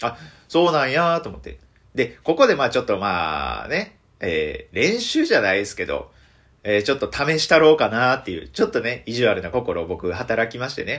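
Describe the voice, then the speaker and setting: Talking at a fairly quick pace in a Kansai accent, a man swings widely in loudness. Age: 20s. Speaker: comedian. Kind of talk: solo radio talk.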